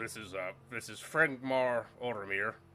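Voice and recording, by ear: A man's put-on character voice at a medium pitch, over clear background noise. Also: fairly slow pace.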